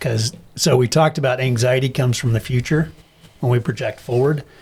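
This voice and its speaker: A man talks at medium pitch with ordinary pitch variation. His voice is somewhat breathy and his pace moderate. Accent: American. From US Midwest, Wichita, Kansas. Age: 60s. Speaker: chiropractor and health practitioner. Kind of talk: casual chat.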